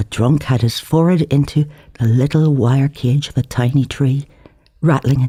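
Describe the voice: Someone is reading aloud. The delivery is plain.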